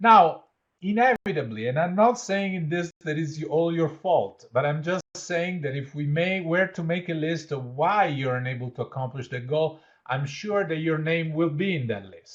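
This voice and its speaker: An Italian-accented man speaks with lively intonation and a fairly high pitch. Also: moderate pace. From Italy. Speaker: leadership educator and change consultant. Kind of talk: interactive workshop. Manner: conversational, with fillers.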